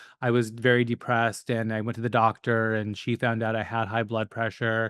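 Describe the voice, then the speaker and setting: A man at medium pitch, speaking at a moderate pace. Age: 40s. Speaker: business coach. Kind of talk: podcast interview.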